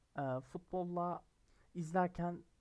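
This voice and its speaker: A man speaks at a high pitch with monotone, flat intonation. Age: 20s. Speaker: football podcaster, university student. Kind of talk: solo casual podcast monologue.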